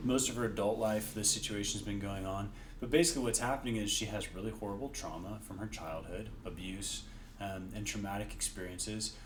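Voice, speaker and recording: Soft-spoken and fairly low-pitched, a man talks at a fairly quick pace with ordinary pitch variation. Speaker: physician associate and nonprofit founder. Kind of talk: expert interview answer.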